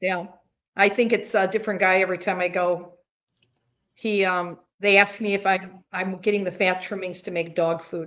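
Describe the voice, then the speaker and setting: This woman talks at a moderate pace and a medium pitch. Her intonation is monotone and flat. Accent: American. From US Midwest, Chicago area. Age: 70s. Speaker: carnivore diet content creator. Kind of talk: casual chat.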